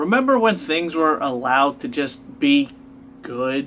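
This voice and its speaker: Over light background noise, a man talks at a fairly slow pace with lively intonation. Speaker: video blogger. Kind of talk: rant. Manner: exasperated, argumentative. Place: home room. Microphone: camera far.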